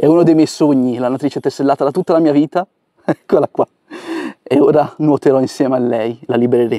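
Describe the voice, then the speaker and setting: A man with a fairly high voice talks at a fairly quick pace with long, frequent pauses and fairly even intonation, recorded dry and close with no echo. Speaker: wildlife educator, herpetologist. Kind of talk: nature vlog narration. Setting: outdoors by a river. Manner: soft-spoken.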